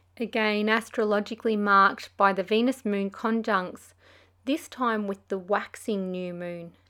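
A woman's bright, sharp tone at a medium pitch, fairly even in intonation and fairly slow, on a very clean recording with a silent background. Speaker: Kundalini yoga teacher and podcast host. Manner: warm, earnest and soothing.

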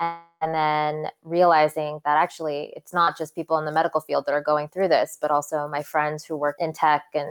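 In a very clean recording with a silent background and a dry, close sound with no echo, a woman with an American accent speaks at a moderate pace in a very deep, low pitch and a monotone, flat intonation. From US West Coast, Santa Cruz, California. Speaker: physician. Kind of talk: interview.

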